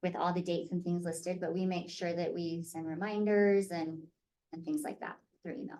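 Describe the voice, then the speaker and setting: With an American accent, this dark, mellow voice moves at a fairly quick pace with fairly even intonation. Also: woman, fairly low pitch for a woman. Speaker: theatre company director. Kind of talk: online parent information meeting.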